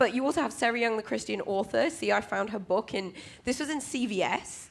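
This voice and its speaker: The speaker has a British accent and very wide pitch swings, talking at a fairly quick pace. It is a very clean recording with a silent background. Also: woman. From UK. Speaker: conference speaker, cloud security specialist. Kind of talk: conference talk. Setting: stage with audience. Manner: casual, many filler ums.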